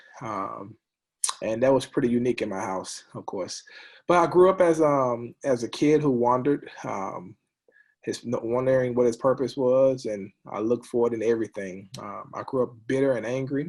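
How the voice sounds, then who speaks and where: In a very clean recording with a silent background, a man speaks at medium pitch and a moderate pace, with ordinary pitch variation and big swings in loudness. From US South, Monroe, Louisiana. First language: sign language. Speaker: former college football player. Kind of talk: casual chat. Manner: halting, many ums.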